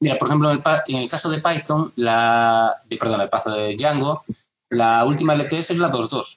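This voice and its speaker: A man's fairly high voice, an unremarkable speaking voice, at a moderate pace with ordinary pitch variation. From Galicia, Spain (A Guarda). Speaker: software developer. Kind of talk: casual chat. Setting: video call.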